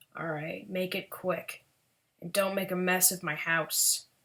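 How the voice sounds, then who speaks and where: The put-on character voice is gravelly and raspy, at a middle pitch. It moves at a fairly slow pace. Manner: curt, dismissive.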